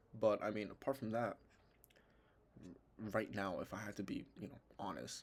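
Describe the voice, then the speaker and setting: A man's fairly low voice with vocal fry at a moderate pace, ordinary pitch variation, big swings in loudness and long, frequent pauses. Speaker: trading analysis youtuber. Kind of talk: tutorial.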